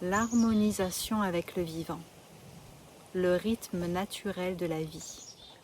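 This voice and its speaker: A woman's very slow, calm, gentle delivery with long, frequent pauses. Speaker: spiritual coach. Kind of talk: spiritual talk to camera.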